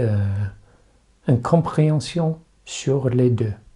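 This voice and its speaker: A man with an English accent, a medium pitch, a dark, mellow, somewhat breathy tone and a very slow pace. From England. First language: English (speaking French). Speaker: rephotography youtuber. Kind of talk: tutorial. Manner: halting, with repetitions and fillers.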